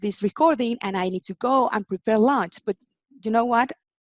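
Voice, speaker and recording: A woman with a Spanish accent speaks at a fairly high pitch with lively intonation. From Mexico. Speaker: in-house legal and compliance manager. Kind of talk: interview. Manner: halting.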